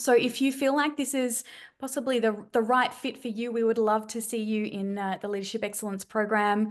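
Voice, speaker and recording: With an Australian accent, a woman speaks at a fairly high pitch and a fairly quick pace, her intonation fairly even against a quiet background. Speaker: webinar host. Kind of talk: sales pitch. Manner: fast.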